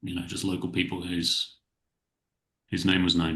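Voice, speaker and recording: A man's very deep, low voice at a moderate pace, with a bright, sharp tone. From southern England, near Salisbury. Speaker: professional coach. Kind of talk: casual podcast interview. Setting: home office, remote call.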